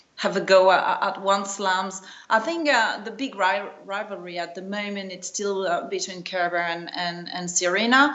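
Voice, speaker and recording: A woman with a non-native accent speaks at medium pitch and a moderate pace, with ordinary pitch variation and audible room echo. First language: not English. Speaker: tennis journalist. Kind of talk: interview. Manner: halting, many repetitions.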